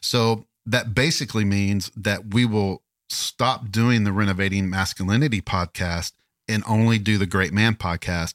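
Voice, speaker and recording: A man with a Southern US accent talks at a moderate pace in a fairly low pitch. The recording is very clean with a silent background, and his loudness stays very even. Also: fairly even intonation, dry, close sound with no echo. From Kentucky. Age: 50s. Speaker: podcast co-host. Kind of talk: casual chat.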